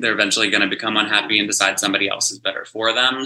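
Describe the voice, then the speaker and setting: The voice has an American accent and a bright, sharp tone. Its pitch varies in an ordinary way. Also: man. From US South, West Virginia small town. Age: 30s. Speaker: hairstylist. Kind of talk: casual chat.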